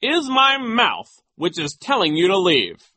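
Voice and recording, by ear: In a put-on character voice, a man speaks high for a man and fairly slowly, with a bright, sharp tone and very wide pitch swings.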